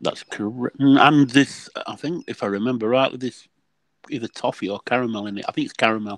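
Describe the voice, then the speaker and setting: With a Yorkshire accent, a man speaks at a fairly quick pace with ordinary pitch variation. His loudness swings widely, and the sound is dry and close with no echo. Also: medium pitch for a man. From Yorkshire, England. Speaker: regular panel guest. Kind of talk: casual chat.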